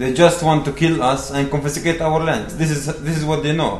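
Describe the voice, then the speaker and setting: Over noticeable background noise, a man with a Palestinian accent talks at a fairly quick pace with fairly even intonation. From Palestine, West Bank. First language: Arabic. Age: 20s. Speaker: activist speaker. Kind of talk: rally-style speech to an audience, mixed with narrating a video. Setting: lecture hall with audience. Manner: earnest, impassioned, appealing; halting, repeats words.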